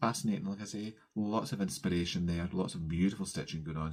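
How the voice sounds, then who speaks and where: Fairly quick speech with a Scottish accent. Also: man. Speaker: cross-stitch vlogger. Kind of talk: casual craft vlog chat. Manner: fast.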